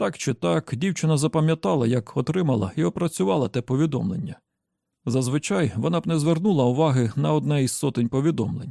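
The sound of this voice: A man's dark, mellow voice with vocal fry at a fast pace, dry and close with no echo, in a very clean recording with a silent background. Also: fairly high pitch for a man, ordinary pitch variation.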